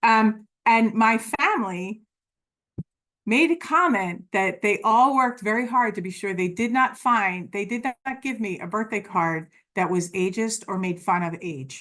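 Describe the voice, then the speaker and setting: A woman's fairly high, bright, sharp voice with lively intonation at a fairly slow pace. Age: 60s. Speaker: webinar presenter on aging. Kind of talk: webinar presentation. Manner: halting with many fillers and restarts.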